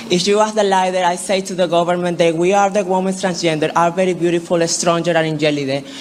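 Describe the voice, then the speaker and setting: Amid noticeable background noise, a woman with a fairly low pitch talks at a fairly quick pace, keeping her intonation fairly even. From Venezuela. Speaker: pageant contestant. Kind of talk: pageant question answer. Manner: halting.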